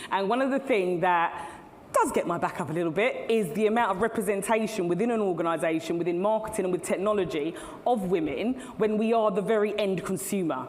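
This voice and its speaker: A woman's medium-pitched voice with an English accent, very fast with very even loudness and ordinary pitch variation, amid audible room echo and noticeable background noise. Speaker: CEO and keynote speaker. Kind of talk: conference keynote talk. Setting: stage with audience.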